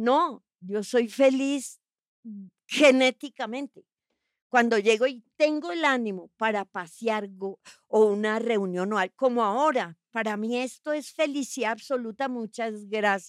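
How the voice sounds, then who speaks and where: A woman's normal speaking voice, fairly high in pitch, with ordinary pitch variation and a fairly slow pace, dry and close with no echo, on a very clean recording with a silent background. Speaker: actress. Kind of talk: casual chat.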